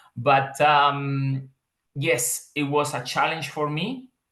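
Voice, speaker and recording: A bright, sharp tone with a strong Spanish accent. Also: man. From Colombia, Bucaramanga. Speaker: metallurgical engineer, migrant. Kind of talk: interview conversation.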